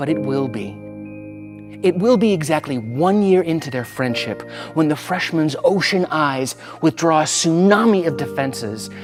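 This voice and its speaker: A man talks at a moderate pace in a fairly high voice, his pitch swinging very widely. Music plays in the background. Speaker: spoken word poet. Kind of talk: spoken word poetry performance.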